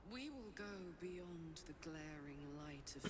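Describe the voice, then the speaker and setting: A woman's put-on character voice, fairly low and fairly slow, over loud background noise. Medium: game stream.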